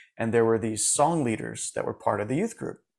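A man with an American accent talks at a very fast pace. His medium-pitched voice carries vocal fry. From Florida, US. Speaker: music supervisor and coach for musicians. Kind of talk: interview.

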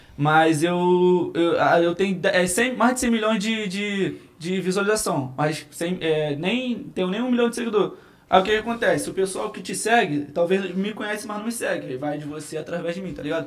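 High male speech at a moderate pace with ordinary pitch variation. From Rio de Janeiro (Cidade de Deus), born in Minas Gerais. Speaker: comedian and viral internet personality. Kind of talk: casual podcast chat.

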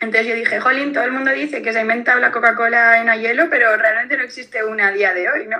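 Over noticeable background noise, a woman talks at a fairly high pitch and a fairly quick pace. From Valencia region, Spain. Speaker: beverage brand founder. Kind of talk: interview.

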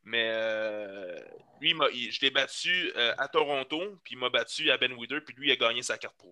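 A man speaks at a fairly slow pace and medium pitch. His delivery shows ordinary pitch variation and big swings in loudness. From Quebec, Laurentides. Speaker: fitness coach and bodybuilder. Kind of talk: casual chat. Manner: halting.

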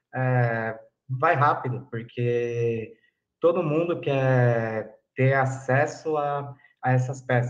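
A man's medium-pitched, a normal speaking voice, with fairly even intonation. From São Paulo city, south zone. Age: 20s. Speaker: pipe dealer and historian. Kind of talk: interview.

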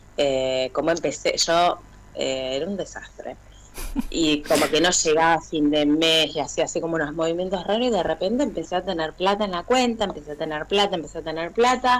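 A woman's fairly low voice with lively intonation at a fairly quick pace, amid noticeable background noise. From Argentina, Buenos Aires south zone. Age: 30s. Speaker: teacher of deaf students. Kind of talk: testimony.

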